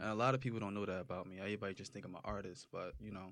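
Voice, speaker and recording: A man with an American accent, fairly low pitch, very fast pace, and monotone, flat intonation. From New Jersey, Roselle. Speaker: rapper. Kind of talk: casual chat.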